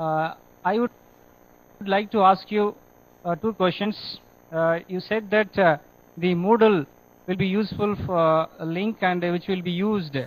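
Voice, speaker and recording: The delivery is fairly slow, broken by long, frequent pauses. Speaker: remote center coordinator. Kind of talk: feedback and questions. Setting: video link from remote center. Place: hall. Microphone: video call.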